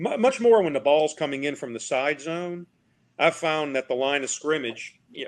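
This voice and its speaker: A man speaks at a fairly high pitch and a moderate pace. His intonation is lively. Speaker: football officiating instructor. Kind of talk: film review discussion. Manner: soft-spoken.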